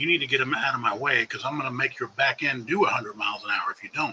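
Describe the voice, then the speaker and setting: Very fast speech from a man, with noticeable background noise throughout. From California. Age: 60s. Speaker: drone videographer, live streamer. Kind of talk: casual live stream chat. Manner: rambling, conversational.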